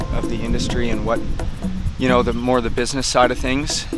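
Loud music plays in the background of a dry sound with no echo. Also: man. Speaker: fly fishing guide. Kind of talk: interview answer. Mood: relaxed, reflective. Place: boat.

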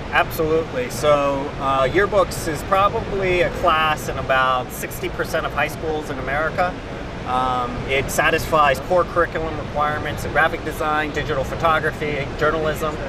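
A man talks at a moderate pace with hardly any pauses. The sound is dry with no echo, and loud background noise runs underneath. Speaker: guest. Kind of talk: interview answer. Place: hall. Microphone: lapel.

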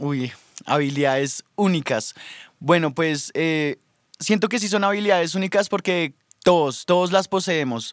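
Dry with no echo over a quiet background, a man talks at a fairly slow pace with a high pitch. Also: ordinary pitch variation. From Colombia, Bogotá. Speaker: rapper. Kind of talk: radio interview. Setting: studio. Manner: hesitant, many fillers. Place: studio. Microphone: studio mic.

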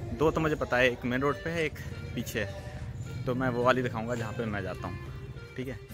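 Music can be heard clearly in the background as a man talks. He speaks at a moderate pace, and the sound is dry with no echo. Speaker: vlogger. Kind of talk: casual vlog chat. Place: street. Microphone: phone near.

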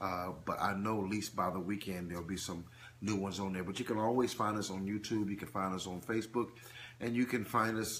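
A plain, everyday voice moves at a fairly quick pace. The intonation stays fairly even. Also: man, fairly low pitch for a man. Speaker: preacher. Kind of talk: live-stream teaching. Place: home room. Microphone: phone near.

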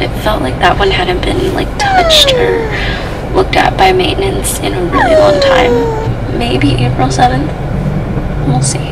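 Loud background noise surrounds a woman who talks at a fairly slow pace. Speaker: family vlogger. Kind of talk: casual vlog chat. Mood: slightly embarrassed, chatty. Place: car. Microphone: phone near.

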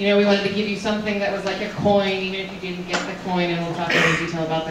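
A woman is heard with audible room echo. Noticeable background noise is present. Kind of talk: presentation talk. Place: hall.

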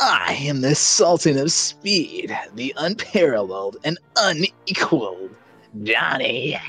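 Faint music plays in the background. A man speaks at a fairly slow pace, his pitch fairly high. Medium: game stream. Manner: cocky, taunting.

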